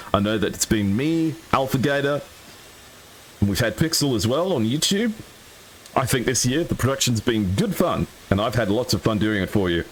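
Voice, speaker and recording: A man with an American accent speaks at a moderate pace with lively intonation and long, frequent pauses. His loudness stays very even beneath noticeable background noise. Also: medium pitch for a man. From Australia. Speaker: esports commentator. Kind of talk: live commentary. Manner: animated.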